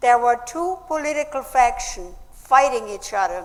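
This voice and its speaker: A woman with a German accent speaks at a very slow pace in a high pitch. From Austria. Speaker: speaker, Nazi-era survivor. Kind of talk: public speech.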